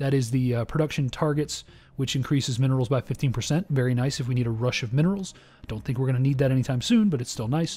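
At a very fast pace, a man talks in a medium pitch with a dark, mellow tone, somewhat breathy, with ordinary pitch variation, on a very clean recording with a silent background. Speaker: gaming youtuber. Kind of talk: let's play commentary. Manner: casual, with frequent filler words.

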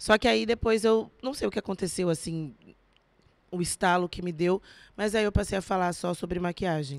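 In a dry, close recording with no echo, a woman with an unremarkable speaking voice talks at a moderate pace, her medium pitch carried by lively intonation. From São Paulo state (São José dos Campos, São Paulo city), born in Minas Gerais. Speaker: actress and beauty influencer. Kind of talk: casual chat.

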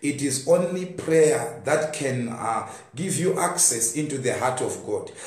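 With audible room echo, a man talks at a fairly slow pace. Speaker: preacher. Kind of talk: sermon. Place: home room. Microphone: phone near.

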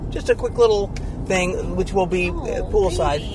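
Moderate pace against noticeable background noise, with a dry sound and no echo. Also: man. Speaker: real estate vlog co-host. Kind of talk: casual vlog chat. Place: car. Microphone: camera far.

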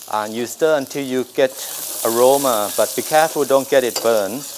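A man talks at a moderate pace with fairly even intonation. Noticeable background noise runs behind him. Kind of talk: tutorial. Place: kitchen.

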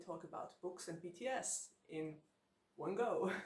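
The room echo can be heard. A woman's voice sits fairly low in pitch. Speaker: book vlogger. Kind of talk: casual vlog chat. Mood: cheerful, laughs often. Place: home room.

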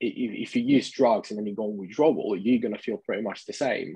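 In an Italian accent, the speaker goes at a fairly quick pace with ordinary pitch variation, the sound dry with no echo and the background quiet. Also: man. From Italy. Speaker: vegan lifestyle advocate; guest. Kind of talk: interview. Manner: repetitive stammering restarts. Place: home room. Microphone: video call.

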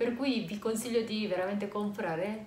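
In a room with audible echo and light background noise, a woman talks with ordinary pitch variation. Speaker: fashion vlogger. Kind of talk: casual vlog chat. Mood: cheerful, laughing. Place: home room. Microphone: camera far.

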